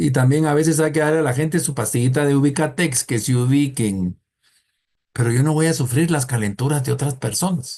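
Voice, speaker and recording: A man's somewhat breathy, dark, mellow voice, fairly high in pitch, at a fairly quick pace with very even loudness and ordinary pitch variation. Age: 60s. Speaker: thanatology teacher. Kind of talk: lecture. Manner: conversational, humorous storytelling.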